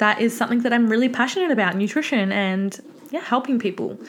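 A woman with an Australian accent speaks in an animated tone. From Victoria, Australia. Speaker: podcast host, online fitness coach. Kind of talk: casual solo monologue. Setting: home office.

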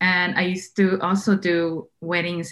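A woman speaks in an ordinary speaking voice with fairly even intonation. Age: 30s. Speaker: wedding photographer. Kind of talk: casual chat.

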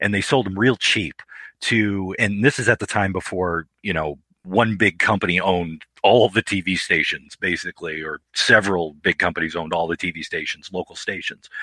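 An unremarkable speaking voice with an American accent and ordinary pitch variation moves at a moderate pace, the sound dry and close with no echo against a quiet background. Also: man, fairly low pitch for a man. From Detroit. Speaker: author and filmmaker. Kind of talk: casual interview.

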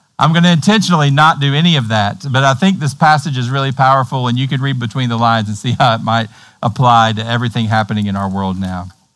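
Speaking with a Tennessee accent, a man uses a medium pitch and a fairly bright tone, moving at a fairly quick pace with ordinary pitch variation. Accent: Tennessee, American South.

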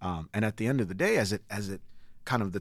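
The recording is very clean, with a silent background. A man with a General American accent speaks fairly quickly at a fairly low pitch with ordinary pitch variation. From Nigeria, raised in Connecticut from age six. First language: Igbo. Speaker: musician. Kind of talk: interview.

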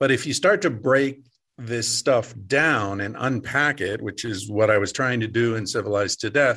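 A man talks at a moderate pace and medium pitch, in an ordinary speaking voice. The background is quiet. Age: 50s. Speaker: author and psychologist. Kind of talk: interview.

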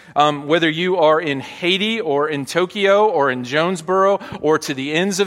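Here a man speaks with an American accent at a fairly high pitch. His tone is bright and sharp. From US South, Arkansas. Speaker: pastor. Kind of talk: sermon. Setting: church.

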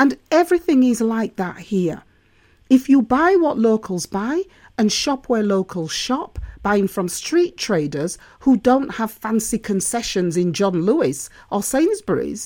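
On a very clean recording with a silent background, a woman's fairly high voice, dark and mellow in tone, moves through very wide pitch swings at a fairly slow pace. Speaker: podcast host. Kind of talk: solo podcast monologue. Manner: animated, laughing at times.

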